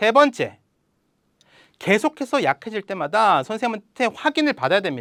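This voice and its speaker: A man's high-pitched voice at a moderate pace, dry and close with no echo, in a very clean recording against a silent background. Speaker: math tutor and academy head. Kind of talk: promotional talk.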